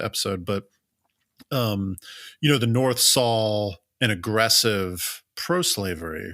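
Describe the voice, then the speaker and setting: In a very clean recording with a silent background, a man with a slight Southern US accent speaks at a fairly low pitch. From US South. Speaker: history podcast co-host. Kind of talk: conversational history presentation. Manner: casual, many filler words.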